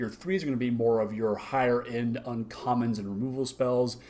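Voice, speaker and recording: At a fairly quick clip comes a normal speaking voice. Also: man. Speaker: card game reviewer. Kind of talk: video review. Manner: excited.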